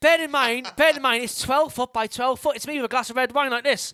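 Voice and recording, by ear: The voice has a bright, sharp tone that is also clear and smooth, with fairly even intonation and a fairly quick pace. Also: man, extremely high pitch for a man.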